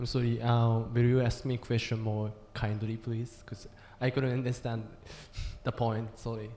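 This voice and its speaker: The speaker has a Japanese accent. The pace is moderate. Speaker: youth health advocate panelist. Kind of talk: panel discussion. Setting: conference venue with audience.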